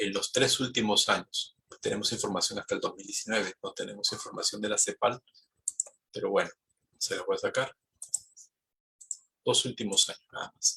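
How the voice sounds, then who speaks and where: A man at a moderate pace with long, frequent pauses, in a dry, close sound with no echo. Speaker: economist and university lecturer. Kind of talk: lecture.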